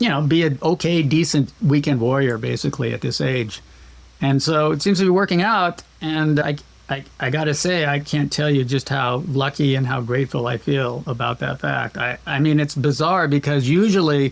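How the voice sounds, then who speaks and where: Using a normal speaking voice, a man talks at a fairly high pitch and a moderate pace with ordinary pitch variation. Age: 60s. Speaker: rock climber and philosophy professor. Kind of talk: podcast interview.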